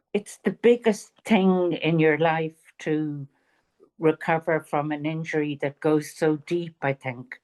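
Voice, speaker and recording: A woman with a Dublin accent speaks at a very slow pace, her pitch very deep and low with ordinary variation. The sound is dry and close, with no echo. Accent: Irish (Dublin). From Ireland, Dublin. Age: 70s. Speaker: author. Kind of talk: interview.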